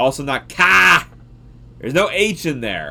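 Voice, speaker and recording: Very slow speech over noticeable background noise. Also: man. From US South, Georgia. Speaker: science livestreamer. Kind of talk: casual livestream chat. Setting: live stream reading chat. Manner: animated.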